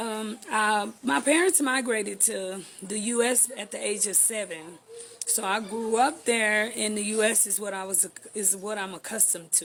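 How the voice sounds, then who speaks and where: In a Texan accent, a woman with a fairly high pitch talks at a moderate pace, showing ordinary pitch variation and big swings in loudness. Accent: Texas American English. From Texas, Houston. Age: 30s. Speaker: vlogger. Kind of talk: channel introduction.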